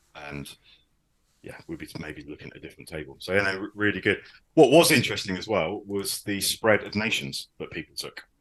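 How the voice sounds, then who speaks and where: A man with a southern English accent, a fairly quick pace and big swings in loudness. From southern England. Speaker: podcast host, wargaming hobbyist. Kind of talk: casual podcast chat. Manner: hesitant, many fillers.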